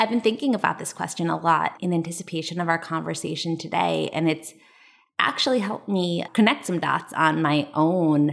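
Speaking at a fairly quick pace in an ordinary speaking voice, a woman with an American accent keeps a fairly low pitch and ordinary pitch variation, recorded very cleanly against a silent background. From US Northeast, New Jersey. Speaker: lawyer and coach. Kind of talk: interview conversation.

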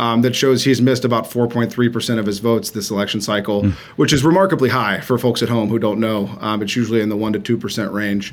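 A man with a plain, everyday voice talks at a fairly quick pace with hardly any pauses. His pitch is medium, with ordinary variation. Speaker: campaign manager. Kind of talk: interview.

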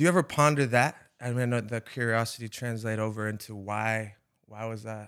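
A man with an American accent speaks at a moderate pace in a medium pitch. His intonation is fairly even, on a very clean recording with a silent background. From Rhode Island, US. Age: 30s. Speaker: podcast host, former college pitcher.

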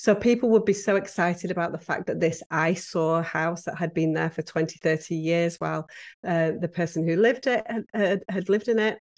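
With a British accent and a fairly low pitch, a woman talks at a moderate pace with ordinary pitch variation over a quiet background. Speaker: podcast guest, professional organizer. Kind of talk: conversational, storytelling.

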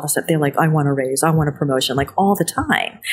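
With an American accent, a woman talks in a very deep, low pitch and fairly even intonation over noticeable background noise. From New Jersey, US. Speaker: chef and TV host. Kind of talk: interview. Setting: hotel lobby.

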